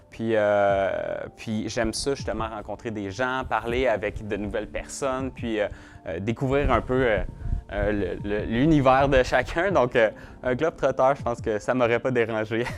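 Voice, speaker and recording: Music plays in the background as a man speaks. He uses a Quebec accent at a fairly slow pace. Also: medium pitch for a man, ordinary pitch variation. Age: young. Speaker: real estate broker. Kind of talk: interview answers. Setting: video shoot. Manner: hesitant, many fillers and repetitions.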